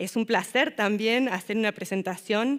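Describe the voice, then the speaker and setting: This woman has a medium pitch and speaks with an Argentine accent. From Argentina. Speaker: city councillor and social worker. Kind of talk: conference presentation. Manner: hesitant fillers.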